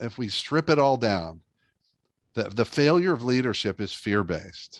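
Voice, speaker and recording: The voice is an unremarkable speaking voice. It moves at a moderate pace with lively intonation. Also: man. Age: 60s. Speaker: leadership speaker and author. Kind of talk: interview podcast conversation.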